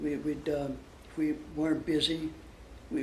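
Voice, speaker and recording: Somewhat breathy and fairly high in pitch, a man talks at a fairly slow pace with audible room echo. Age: 80s+. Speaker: war veteran. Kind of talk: interview. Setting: interview for a school project. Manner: halting.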